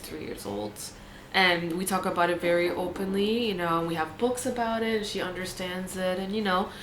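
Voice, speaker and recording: A woman's medium-pitched voice at a fairly quick pace, with fairly even intonation and noticeable background noise. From Puerto Rico. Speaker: fashion and project management worker. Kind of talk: interview answer.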